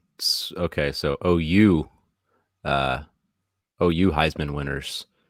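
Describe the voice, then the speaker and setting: A man speaks at a very slow pace with a very deep, low pitch, vocal fry, and fairly even intonation, in a dry, close sound with no echo. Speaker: podcast co-host, trivia contestant. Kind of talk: trivia game show podcast. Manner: mumbling; quiet.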